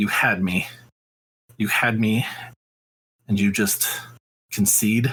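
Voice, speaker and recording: In a low-pitched, put-on character voice, the speaker goes at a fairly slow pace with long, frequent pauses. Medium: actual play. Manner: muttering.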